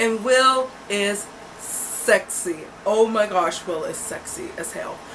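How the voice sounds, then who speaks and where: Over noticeable background noise, a woman speaks in an animated tone. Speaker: book reviewer. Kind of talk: casual vlog book review.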